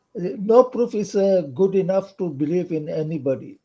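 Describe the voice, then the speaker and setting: Pitched high with a dark, mellow tone, a man speaks at a fairly slow pace with lively intonation. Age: 60s. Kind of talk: online discussion. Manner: halting.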